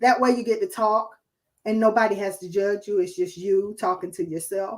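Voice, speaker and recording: Here a woman speaks at a moderate pace. Her pitch is fairly high. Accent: Southern. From New Jersey. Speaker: guest speaker. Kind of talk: live stream chat. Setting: live video stream away from home.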